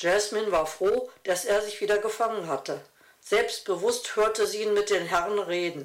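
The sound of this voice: A reading voice that sounds unforced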